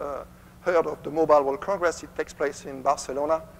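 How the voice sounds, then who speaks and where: The speaker is a man with a French accent. His pitch is fairly high. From France. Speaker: company executive. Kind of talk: conference presentation.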